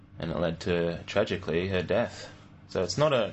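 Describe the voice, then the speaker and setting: A man with a very deep, low voice speaks in an Australian accent. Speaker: podcast host, church member. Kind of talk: casual chat about faith. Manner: jokey, laughs often.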